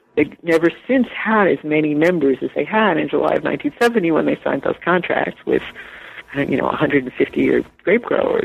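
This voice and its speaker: With noticeable background noise, a speaker with an American accent talks at a moderate pace and very even loudness. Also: woman. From New York. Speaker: author and journalist. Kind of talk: interview.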